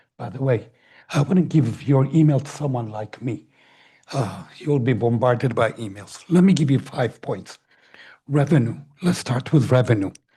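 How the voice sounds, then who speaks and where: A man with a dark, mellow tone and a somewhat breathy quality talks at medium pitch and a moderate pace, his pitch varying in an ordinary way. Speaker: public commenter at council meeting. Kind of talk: public comment.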